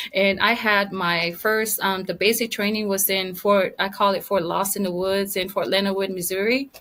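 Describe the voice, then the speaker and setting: A woman with a Samoan accent speaks at a moderate pace and medium pitch, with hardly any pauses and a monotone, flat intonation. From American Samoa. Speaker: retired army veteran and author. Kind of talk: interview.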